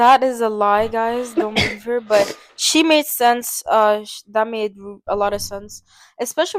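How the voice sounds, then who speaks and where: A woman speaks in an unremarkable speaking voice at a fairly high pitch with ordinary pitch variation. The sound is dry and close, with no echo. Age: young. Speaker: podcast host. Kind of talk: casual podcast discussion.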